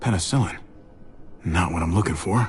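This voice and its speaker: A man's put-on character voice, very deep, low and raspy, with a warm tone, at a fairly quick pace over clear background noise. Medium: video game. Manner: warm, slightly awkward.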